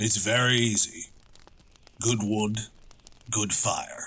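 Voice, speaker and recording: A put-on character voice drags along at a very slow pace. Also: man, medium pitch for a man. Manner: terse.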